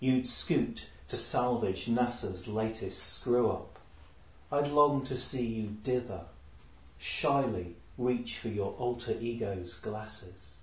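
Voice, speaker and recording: A man talks at a very slow pace, somewhat breathy, with a medium pitch. His pitch variation is ordinary. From Lincolnshire, England. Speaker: poet. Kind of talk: poetry reading, performed aloud, with Q&A chat. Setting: live poetry salon with audience. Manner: measured, deliberate reading with a dry wit; reflective, hesitant in chat.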